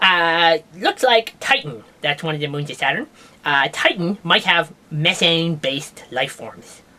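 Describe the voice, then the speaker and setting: A man performs a cartoonish character voice. It is clearly an exaggerated act. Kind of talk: comedic puppet science news show. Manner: rambling, jokey.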